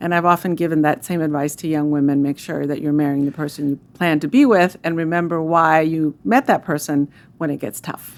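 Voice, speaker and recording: Quickly and with hardly any pauses, a woman with a very deep, low pitch and a Spanish accent talks in fairly even intonation on a very clean recording with a silent background. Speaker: food bank CEO. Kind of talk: interview. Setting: studio.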